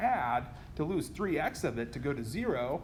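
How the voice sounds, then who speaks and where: With audible room echo around him, a man talks with lively intonation. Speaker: chemistry lecturer. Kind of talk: lecture. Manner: fast.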